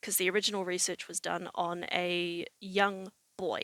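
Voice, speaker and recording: Speaking in a New Zealand accent, a woman holds a medium pitch. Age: 20s. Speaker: vlogger. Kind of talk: personal vlog monologue. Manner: casual, with many fillers.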